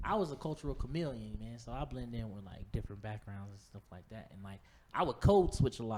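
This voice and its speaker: Big swings in loudness from a man at a fairly quick pace. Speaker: comedian. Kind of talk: casual chat. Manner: animated.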